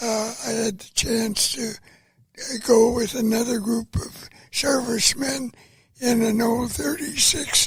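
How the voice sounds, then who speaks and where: A man with an American accent, extremely high in pitch, with ordinary pitch variation, at a very slow pace. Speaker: World War II veteran. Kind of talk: interview answer.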